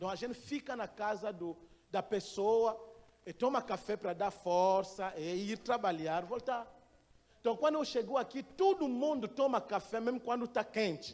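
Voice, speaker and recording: A man with a non-native accent speaks in a high pitch. His pace is fairly slow. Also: ordinary pitch variation. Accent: foreign accent in Portuguese. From Gabon. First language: not Portuguese (speaking Portuguese). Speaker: missionary pastor. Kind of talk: sermon. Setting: church. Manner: halting.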